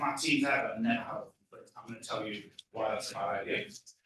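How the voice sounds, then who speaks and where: Room echo is audible here. The man delivers his words at a fairly quick clip. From England. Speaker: tech leadership coach. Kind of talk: conference talk. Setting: stage with audience. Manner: animated.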